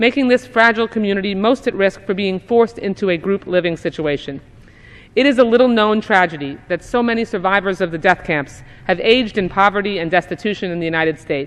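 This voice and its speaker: At a very fast pace, a woman talks in a medium pitch with ordinary pitch variation against a quiet background. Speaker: US congresswoman. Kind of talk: formal speech on the House floor. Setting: legislative chamber.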